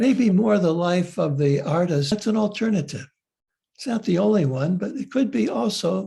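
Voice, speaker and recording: Against a quiet background, a man with a high pitch and a dark, mellow tone speaks at a moderate pace with lively intonation. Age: 80s+. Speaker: author and psychotherapist. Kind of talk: lecture. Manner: halting, frequent fillers.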